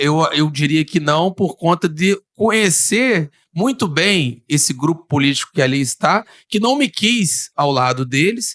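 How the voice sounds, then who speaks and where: Recorded with a dry, close sound and no echo, a man speaks at a fairly slow pace in a high pitch with lively intonation. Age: 30s. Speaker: local politician. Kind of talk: podcast interview. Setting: studio. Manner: hesitant, many fillers.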